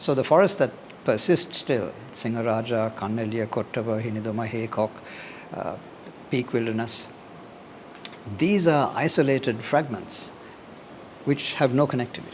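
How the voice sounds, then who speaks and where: Long, frequent pauses break up a man's moderate-paced speech, heard over noticeable background noise. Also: medium pitch for a man, ordinary pitch variation. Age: 60s. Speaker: scientist. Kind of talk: interview. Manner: measured, explanatory.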